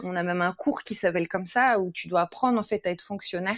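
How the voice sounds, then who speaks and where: A woman speaks in a plain, everyday voice at a medium pitch with ordinary pitch variation. The recording is very clean and dry, close with no echo, over a silent background. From France and Sweden, bicultural. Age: 30s. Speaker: former primary school teacher, parenting influencer. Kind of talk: casual chat.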